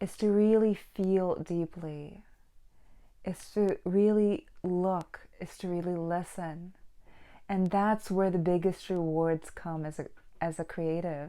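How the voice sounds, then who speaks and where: A woman's very slow, dark and mellow voice at medium pitch, with fairly even intonation and a non-native accent. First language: not English. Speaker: book vlogger and painter. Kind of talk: casual monologue; reading aloud.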